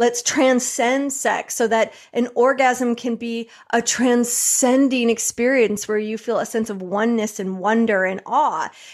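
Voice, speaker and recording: A woman's fairly slow speech in a plain, everyday voice, with an American accent, a fairly high pitch, and fairly even intonation. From US Midwest, Michigan. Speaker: tantra coach. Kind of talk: interview.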